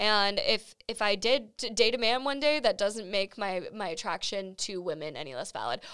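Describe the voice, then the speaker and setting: Her voice sits at a medium pitch, and this woman speaks with lively intonation and vocal fry. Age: 20s. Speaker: podcast host. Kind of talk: casual chat. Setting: studio.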